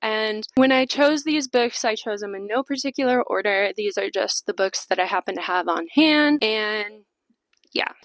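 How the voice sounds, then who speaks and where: Lively intonation marks this voice with a Chicago accent, recorded with a dry, close sound and no echo. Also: woman, fairly high pitch for a woman, moderate pace. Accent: Chicago-area American. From US Midwest, Chicago suburbs. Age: 20s. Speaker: book vlogger. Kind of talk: casual vlog talk to camera. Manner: casual, with filler words.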